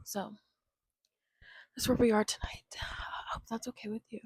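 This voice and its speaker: Soft-spoken and relaxed, a woman with a fairly high pitch and an American accent talks at a fairly slow pace in a monotone, flat intonation, her sound dry and close with no echo. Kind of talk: ASMR rambling, casual talk to camera. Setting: lying in bed, close-mic home recording. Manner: soft-spoken, relaxed.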